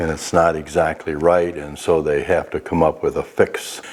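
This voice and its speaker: A man talks at a moderate pace. Behind him, noticeable background noise can be heard. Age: 80s+. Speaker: retired defense technology worker. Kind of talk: interview answer.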